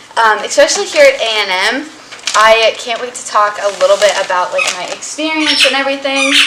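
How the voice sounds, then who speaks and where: Over noticeable background noise, a woman with an American accent projects a raised, high-pitched voice with lively intonation and big swings in loudness. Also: fairly quick pace. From Texas. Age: 20s. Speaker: vlogger, college student. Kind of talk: casual vlog chat.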